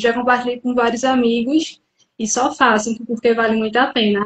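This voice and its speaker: At a moderate pace, a woman with a northeastern Brazilian accent talks in a high pitch. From interior of Pernambuco, Brazil (Carpina). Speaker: psychologist. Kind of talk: live interview. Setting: online live stream.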